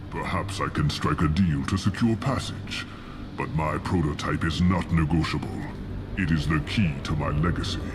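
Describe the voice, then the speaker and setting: Amid loud background noise, a man puts on a character voice with a very deep, low pitch. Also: moderate pace. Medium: video game. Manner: slow, grave, commanding.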